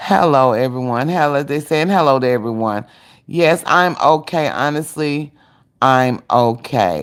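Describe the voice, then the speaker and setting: A woman's lively intonation at a fairly slow pace, in a very clean recording with a silent background. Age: 60s. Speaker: cooking channel host. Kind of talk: casual livestream chat. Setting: livestream.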